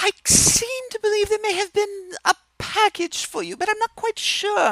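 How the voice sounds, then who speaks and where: This put-on character voice has an extremely high pitch and a British accent. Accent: British, self-admitted bad. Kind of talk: prim and formal. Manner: vague and fussy.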